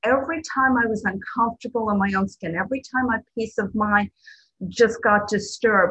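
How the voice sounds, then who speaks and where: In an American accent, a woman talks at a moderate pace with a fairly high pitch and ordinary pitch variation. It is an ordinary speaking voice. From New Jersey. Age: 60s. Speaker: twelve-step meeting speaker and sponsor. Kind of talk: recovery talk. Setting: video call.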